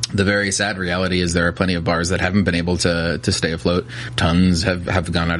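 Over noticeable background noise, a man with an American accent and a very deep, low pitch talks at a very fast pace with fairly even intonation. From New Jersey. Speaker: spirits distributor salesperson. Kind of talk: casual interview. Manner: hesitant, many fillers.

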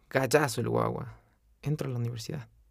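A man speaks with a somewhat breathy voice. The recording is very clean, with a silent background. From Ecuador, Quito. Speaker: veterinarian podcaster. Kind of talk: motivational personal narration.

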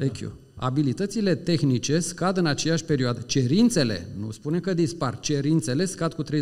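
An unremarkable speaking voice from a man, fairly high in pitch, with lively intonation, a moderate pace and hardly any pauses. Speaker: HR director. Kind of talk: public talk. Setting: stage with audience.

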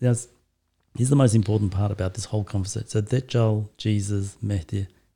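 A man with an Australian accent talks at a fairly quick pace, his fairly low, somewhat breathy voice having a dark, mellow tone. The recording is very clean, with a silent background. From Australia, Turkish family. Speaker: guest discussing Islam. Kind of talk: casual chat.

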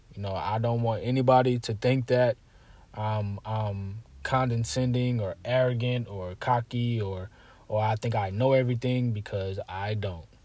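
Somewhat breathy male voice, dark and mellow, at a moderate pace, very clean recording with a silent background. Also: medium pitch for a man. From South Carolina. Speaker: podcast host. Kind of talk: casual monologue. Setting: solo recording. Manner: casual, with many fillers and repetitions.

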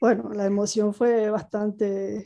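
A fairly high-pitched woman's voice with a dark, mellow tone. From Venezuela, Margarita Island. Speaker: former basketball player. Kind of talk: interview. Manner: halting, repeats words.

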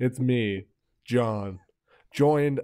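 On a very clean recording with a silent background, a man speaks at a medium pitch and fairly slow pace with a dark, mellow tone. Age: 20s. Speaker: podcast host. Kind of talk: casual chat.

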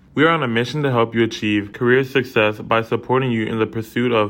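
A man talks at a fairly quick pace with medium pitch and fairly even intonation. He has an unremarkable speaking voice. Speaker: student podcast host. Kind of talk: interview; scripted intro.

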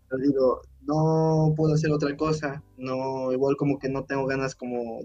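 The man's fairly high voice stays monotone, with flat intonation. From Mexico, Puebla. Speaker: podcast co-host, engineering student. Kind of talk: casual chat.

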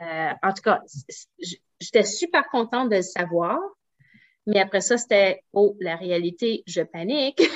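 A woman speaks at a very slow pace. Long, frequent pauses fill her speech. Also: medium pitch for a woman. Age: 40s. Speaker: naturopath and entrepreneur. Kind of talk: interview.

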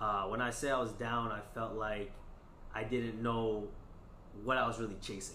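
With an American accent and a bright, sharp tone, a man at medium pitch speaks at a moderate pace, leaving long, frequent pauses. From New York (Queens) and New Jersey. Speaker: rapper and science teacher. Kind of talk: casual interview. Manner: energetic.

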